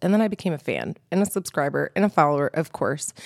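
Lively intonation at a very fast pace. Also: woman. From Georgia, Atlanta area (born in New Mexico). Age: 30s. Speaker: radio show host. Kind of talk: interview. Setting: studio.

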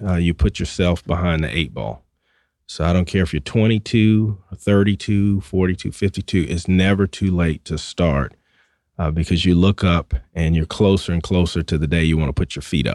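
With a Southern US accent, a man speaks at a moderate pace in a very deep, low voice with ordinary pitch variation, on a very clean recording with a silent background and a dry, close sound with no echo. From US South. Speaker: financial broker. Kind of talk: radio interview. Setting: studio.

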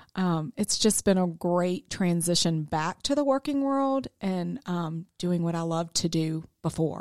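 A woman with an ordinary speaking voice, fairly low in pitch, at a fairly slow pace with lively intonation, on a very clean recording with a silent background and a dry, close sound with no echo. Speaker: accounting firm business developer. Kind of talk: radio interview. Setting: studio.

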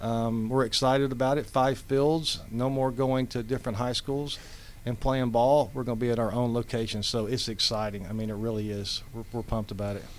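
A man with an ordinary speaking voice keeps a fairly quick pace and fairly even intonation. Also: medium pitch for a man. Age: 50s. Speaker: amateur baseball league president. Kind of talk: casual interview.

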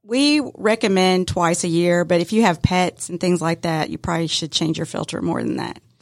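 Speaking at a moderate pace in a Southern US accent, a woman uses a fairly low pitch with ordinary pitch variation. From metro Atlanta, Georgia. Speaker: HVAC business co-owner. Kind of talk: casual interview. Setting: studio.

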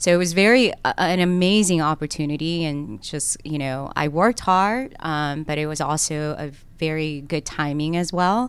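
In a Korean accent, a woman with a very deep, low pitch speaks at a moderate pace. She hardly pauses, and her pitch varies in an ordinary way. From South Korea, then Cobb County, Georgia. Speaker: lawyer and political candidate. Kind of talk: radio interview. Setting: studio.

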